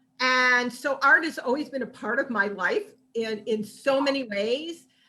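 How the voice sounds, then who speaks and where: A woman's bright, sharp, high-pitched voice, fairly slow in pace and ordinary in pitch variation. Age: 70s. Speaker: artist, author and activist. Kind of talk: podcast interview, personal testimony. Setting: live-streamed podcast on video call.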